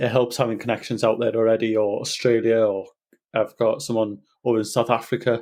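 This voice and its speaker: A man with a Welsh accent speaks at a fairly quick pace in a medium pitch, his intonation monotone and flat and his loudness very even, over a quiet background. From North Wales. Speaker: nutritionist and personal trainer. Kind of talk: casual interview. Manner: halting, repeats words.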